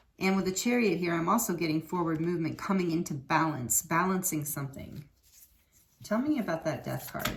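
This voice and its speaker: Noticeable background noise sits behind the voice. The pitch variation is ordinary. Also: woman. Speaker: tarot reader. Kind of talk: tarot card reading. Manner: halting.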